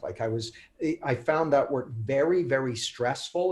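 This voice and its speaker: With a Canadian accent, a man speaks at a moderate pace in a somewhat breathy voice with ordinary pitch variation. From Canada. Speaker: author and coach. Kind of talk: interview. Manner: halting, many repeated words.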